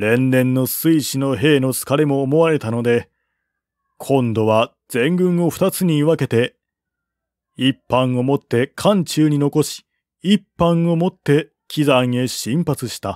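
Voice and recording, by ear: A man speaks at a slow pace with a medium pitch, a slightly mellow tone and ordinary pitch variation. The very clean recording has a silent background and a dry, close sound with no echo.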